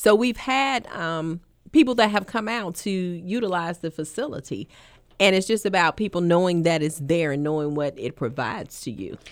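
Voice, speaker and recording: In a normal speaking voice, a woman talks at a fairly low pitch and a moderate pace with lively intonation, on a very clean recording with a silent background. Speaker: sales and marketing manager. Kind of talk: radio interview.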